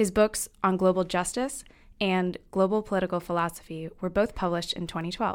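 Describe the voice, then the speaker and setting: A woman with a normal speaking voice talks at a fairly quick pace and medium pitch, her intonation fairly even, in a very clean recording with a silent background. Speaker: student interviewer. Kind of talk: interview questions. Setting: studio.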